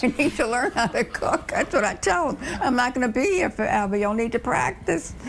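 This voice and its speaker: The voice moves at a fairly quick pace with very wide pitch swings. Noticeable background noise is present. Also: woman, high pitch for a woman, hardly any pauses. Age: 80s+. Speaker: grandmother who cooks for family. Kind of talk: interview answer.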